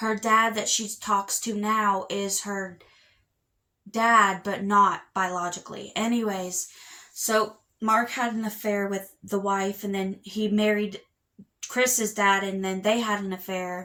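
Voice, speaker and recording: In a bright, sharp tone, a woman at medium pitch speaks at a very slow pace with monotone, flat intonation. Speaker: book vlogger. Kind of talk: casual chat. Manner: halting.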